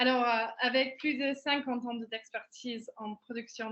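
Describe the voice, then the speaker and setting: In an English accent, a woman talks at a fairly high pitch. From England. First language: English (speaking French). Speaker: head of an event robotics product. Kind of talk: webinar presentation.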